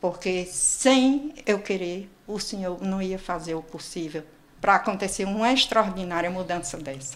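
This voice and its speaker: The speech moves at a fairly slow pace with lively intonation and big swings in loudness, over noticeable background noise. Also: woman, medium pitch for a woman. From Brazil, Northeast (João Pessoa, Paraíba). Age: 60s. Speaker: patient sharing weight-loss story. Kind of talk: interview testimony.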